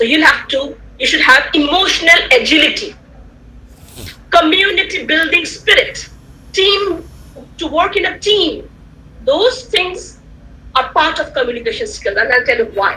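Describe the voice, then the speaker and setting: With an Indian accent, a woman projects a raised voice at an extremely high pitch with very wide pitch swings, leaving long, frequent pauses amid audible room echo. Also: moderate pace. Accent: Indian English (Tamil). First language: Tamil. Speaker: guest speaker, communication skills trainer. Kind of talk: online lecture. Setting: video call. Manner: repetitive, halting with fillers.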